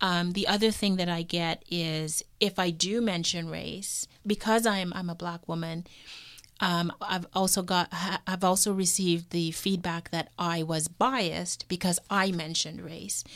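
Over a silent background in a very clean recording, a woman with an ordinary speaking voice talks at a fairly slow pace with fairly low pitch and fairly even intonation. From Toronto, Canada. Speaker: university professor. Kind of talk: interview. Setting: studio.

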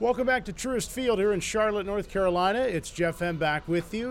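The man's intonation is lively, and noticeable noise fills the background. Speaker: radio host. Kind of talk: pregame radio interview.

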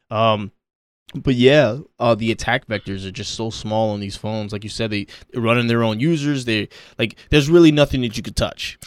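In an American accent, the speaker has a normal speaking voice with ordinary pitch variation. The pace is moderate, and the recording is very clean with a silent background. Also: man, medium pitch for a man. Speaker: podcast host. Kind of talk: casual chat.

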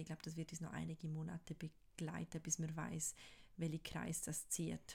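Vocal fry runs through this voice as it goes along at a moderate pace. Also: woman. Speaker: podcast co-host. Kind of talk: casual chat.

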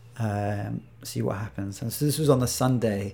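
A man's voice of medium pitch, dark and mellow in tone, with ordinary pitch variation, on a very clean recording with a silent background. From Iraq. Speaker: video game designer and developer. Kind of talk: interview.

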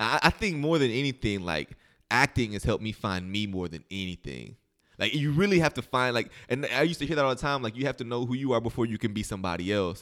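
Here is a man with an American accent talking at a very fast pace. His intonation is lively. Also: medium pitch for a man. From southern Illinois / western Kentucky. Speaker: actor. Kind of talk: casual interview.

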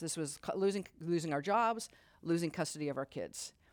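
On a very clean recording with a silent background, a woman with an American accent talks at a fairly quick pace in an unremarkable speaking voice, fairly low in pitch with ordinary pitch variation. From Utah. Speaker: civil rights lawyer. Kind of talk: live interview. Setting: stage with audience.

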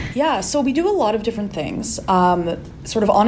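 Noticeable background noise and audible room echo surround a woman's voice. She speaks at a moderate pace with a Canadian accent. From Calgary, Alberta, Canada. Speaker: podcast co-host and PhD student. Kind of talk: casual interview chat.

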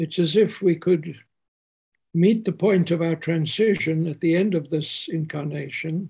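Very slow speech comes from a man with a high pitch. His tone is dark and mellow. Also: fairly even intonation. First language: English (speaking German). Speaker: spiritual teacher; homeopath. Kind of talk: spiritual talk. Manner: halting.

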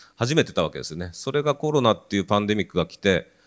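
With a normal speaking voice and lively intonation, a man is heard in a very clean recording with a silent background and a dry, close sound with no echo. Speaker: professor researching happiness. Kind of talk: panel talk.

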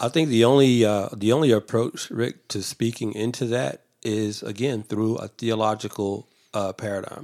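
Using a normal speaking voice at a medium pitch, a man talks at a moderate pace with ordinary pitch variation and hardly any pauses. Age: 50s. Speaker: theology student and guest. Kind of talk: interview. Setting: office.

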